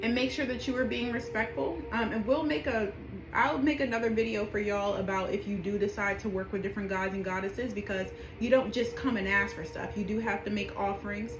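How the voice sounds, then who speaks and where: Her voice is medium-pitched, a woman's. The room echo is audible and background noise is noticeable. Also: ordinary pitch variation, fairly quick pace. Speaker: spiritual practitioner teaching rituals. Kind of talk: tutorial. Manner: casual, with many fillers; whispering during petition.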